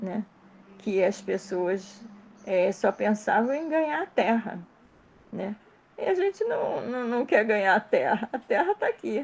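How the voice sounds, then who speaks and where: Very wide pitch swings mark this woman's speech. She talks at a fairly slow pace. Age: 70s. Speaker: study group participant. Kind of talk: group study discussion. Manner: halting.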